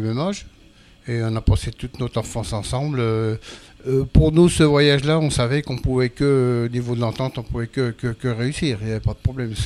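A medium-pitched man at a fairly quick pace, with ordinary pitch variation. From eastern France, Jura. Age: 60s. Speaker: retired car body repairer, traveler. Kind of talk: interview. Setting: studio on a festival barge. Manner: halting.

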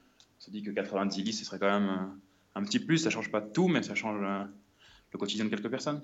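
The speech moves at a very fast pace with ordinary pitch variation. Audible room echo surrounds it. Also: man. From Brittany, France. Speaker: traveller, former cook. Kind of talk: remote interview. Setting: phone call from an apartment hallway. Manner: halting, many repetitions.

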